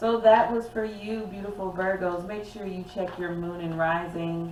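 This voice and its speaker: A woman of medium pitch speaks at a moderate pace with fairly even intonation but big swings in loudness. Noticeable background noise and audible room echo fill the recording. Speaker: tarot reader. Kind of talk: tarot reading.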